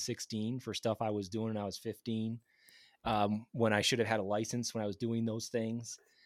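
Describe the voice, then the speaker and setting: A speaker with a Midwestern American accent talks at a moderate pace. The sound is dry and close with no echo, in a very clean recording with a silent background. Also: man. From Michigan (Grand Rapids). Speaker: geophysicist. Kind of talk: casual interview.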